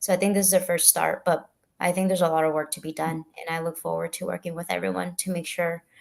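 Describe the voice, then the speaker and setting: A woman speaks with a Spanish accent. Her pitch is fairly low. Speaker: political candidate. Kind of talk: panel interview answer. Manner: halting, frequent fillers.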